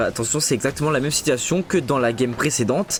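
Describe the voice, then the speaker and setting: A man talks at a fairly quick pace. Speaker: esports caster and streamer. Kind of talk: live commentary. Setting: live stream. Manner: animated.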